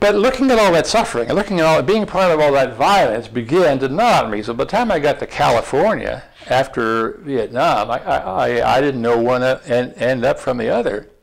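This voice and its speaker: Background noise is noticeable as a man with an American accent talks at a fairly quick pace with hardly any pauses. His fairly high pitch moves in very wide swings. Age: 70s. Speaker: former diplomat and author. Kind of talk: interview dialogue before an audience. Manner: halting, many repeated words.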